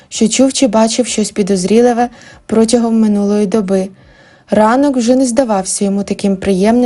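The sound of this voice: Reading aloud in an unforced voice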